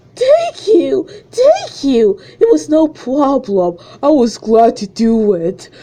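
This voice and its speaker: A woman uses a put-on character voice, pitched high with very wide swings. She speaks at a very slow pace. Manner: gladly grateful.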